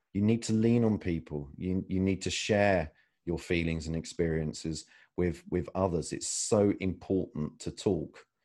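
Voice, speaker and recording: A man talks at a moderate pace in a British accent, his pitch very deep and low. The background is quiet. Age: 30s. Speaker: mobile filmmaker. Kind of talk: interview. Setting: video call. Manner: halting, with many fillers.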